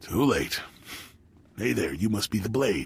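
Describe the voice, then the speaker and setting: A man in a put-on character voice, raspy and fairly low in pitch, at a moderate pace. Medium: video game. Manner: casual, cocky, menacing.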